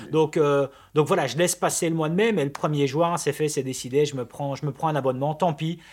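A man speaks in an ordinary speaking voice at a fairly high pitch. His pace is fairly quick and his intonation fairly even. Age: 30s. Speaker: videographer and podcast co-host. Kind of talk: casual chat.

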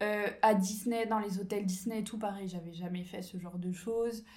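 With audible room echo, a woman speaks at medium pitch in a monotone, flat intonation. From France, Ain near Lyon. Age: 20s. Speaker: entrepreneur and business coach. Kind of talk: casual interview.

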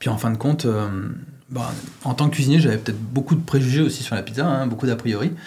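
A man rattles off words very fast at a medium pitch, with ordinary pitch variation and noticeable background noise around him. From France, Lyon. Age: 40s. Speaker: pizza chef and franchise owner. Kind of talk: interview. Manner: hesitant, many fillers.

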